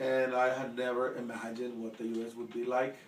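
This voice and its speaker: Audible room echo and noticeable background noise surround a man speaking. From El Salvador. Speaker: interviewee, immigrant. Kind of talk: casual interview. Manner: halting with fillers.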